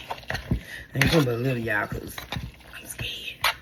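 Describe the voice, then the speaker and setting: A woman speaks over noticeable background noise. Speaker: home cook vlogger. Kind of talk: casual cooking vlog. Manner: animated.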